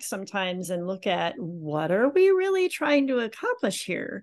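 A woman with a normal speaking voice talks at a moderate pace and medium pitch over a quiet background. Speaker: podcast host. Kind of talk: interview.

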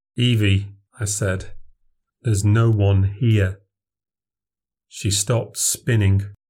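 At a very slow pace, a somewhat breathy man speaks in a fairly low, monotone, flat voice. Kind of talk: ghost story telling, first-person account read aloud. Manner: tense, halting, urgent, with clipped short sentences that build dread.

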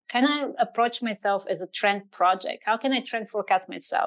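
A woman with a Bulgarian accent speaks at a moderate pace, her voice fairly high with ordinary pitch variation. The background is quiet. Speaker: trend researcher and strategist. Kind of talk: interview conversation.

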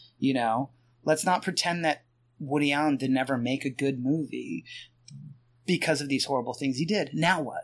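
In a very clean recording with a silent background, a man with an American accent and a normal speaking voice talks at a moderate pace, his fairly high pitch showing ordinary variation. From Pennsylvania. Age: 40s. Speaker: author and podcaster. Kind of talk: casual chat.

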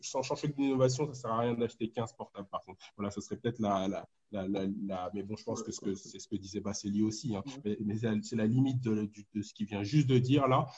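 A man talks with fairly even intonation and a somewhat breathy voice. His loudness swings widely. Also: medium pitch for a man. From Ivory Coast. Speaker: economics postdoctoral researcher. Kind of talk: explanatory group discussion. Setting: online group call.

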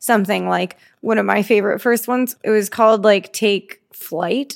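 This woman has a plain, everyday voice at a medium pitch. She moves at a fairly quick pace with fairly even intonation. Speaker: podcast co-host. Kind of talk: casual chat.

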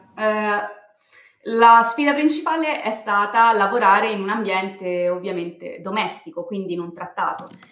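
Lively intonation at a fairly slow pace amid audible room echo. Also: woman, medium pitch for a woman. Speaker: communications consultant and podcaster. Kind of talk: casual interview. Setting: remote call, home setup. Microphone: built-in laptop mic.

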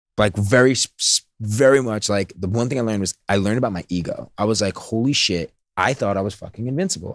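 Heard with a dry, close sound with no echo, a man talks at a fairly quick pace in a plain, everyday voice, fairly low in pitch. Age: 30s. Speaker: serial entrepreneur. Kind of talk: casual interview chat.

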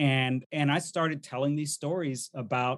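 A normal speaking voice goes at a moderate pace with fairly even intonation. The background is quiet. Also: man. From US army family, moved around. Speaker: diversity speaker and workshop facilitator. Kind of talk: interview conversation.

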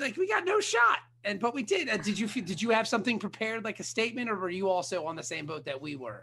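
A man speaks at a very fast pace in a raised, projected voice. His pitch is high and his tone bright and sharp. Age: 40s. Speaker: podcast host. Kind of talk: casual chat. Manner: animated.

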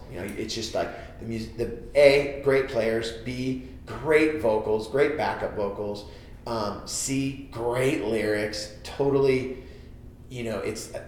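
With an American accent, a man at medium pitch speaks at a very slow pace and with fairly even intonation. Audible room echo and noticeable background noise fill the recording. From US West Coast, San Jose, California. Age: 40s. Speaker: comedian and record label founder. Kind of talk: casual chat. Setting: studio.

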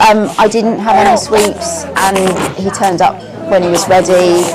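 A woman is heard with audible room echo. Crowd noise fills the background. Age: 40s. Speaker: mother. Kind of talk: testimony. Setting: cafe.

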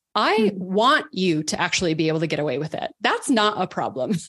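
Against a quiet background, a woman with an American accent speaks at a moderate pace in a medium pitch, her voice swinging very widely up and down. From Texas, Dallas. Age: 40s. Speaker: writer and podcaster. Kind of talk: interview conversation.

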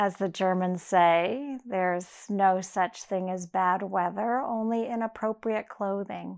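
A woman's plain, everyday voice, medium in pitch with fairly even intonation and hardly any pauses, over a quiet background. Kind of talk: guided meditation. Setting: audio recording for listeners lying down. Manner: slow, soft, soothing, unhurried with long pauses; gentle, inviting, warm and imagery-rich.

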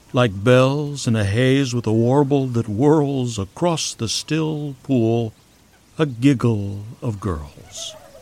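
Speaking at a very slow pace, a man uses a medium pitch and a dark, mellow tone with ordinary pitch variation. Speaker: poet and podcast host. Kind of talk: poetry reading, performed verse with playful rhyme. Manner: lilting, sing-song rhythm, whimsical; animated, playful with onomatopoeic sounds.

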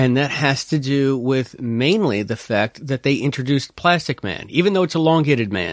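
A plain, everyday voice at a moderate pace, full of lively intonation. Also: man. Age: 40s. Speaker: podcast guest. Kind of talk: casual chat.

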